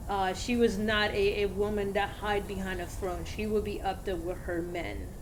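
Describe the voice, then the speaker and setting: Against noticeable background noise and audible room echo, a woman with a Spanish accent speaks at a medium pitch in a monotone, flat intonation. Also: moderate pace. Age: 40s. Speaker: video game streamer. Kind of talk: casual gameplay commentary. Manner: halting, many fillers.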